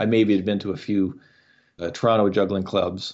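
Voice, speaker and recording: Fairly even intonation marks this man's fairly low voice with an Ontario accent. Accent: Canadian (Ontario). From Canada, rural Ontario. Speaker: comedy juggler. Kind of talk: interview.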